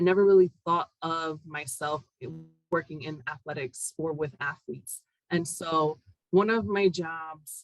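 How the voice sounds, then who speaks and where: A woman speaks with a Spanish accent at a fairly low pitch, with ordinary pitch variation. The sound is dry and close, with no echo. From Puerto Rico, then Connecticut from second grade. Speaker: university academic director. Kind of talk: interview.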